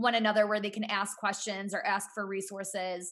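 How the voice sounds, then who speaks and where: A woman with an American accent speaks loudly at a fairly quick pace. Her tone is bright and sharp. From US Midwest, Cleveland area. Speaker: entrepreneur and author. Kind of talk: casual interview.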